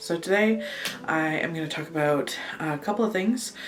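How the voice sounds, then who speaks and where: Music plays behind a woman speaking at a very slow pace. Her intonation is lively, and the room echo is audible. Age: 20s. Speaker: vlogger and amateur photographer. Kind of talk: casual vlog monologue. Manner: hesitant, many fillers; animated.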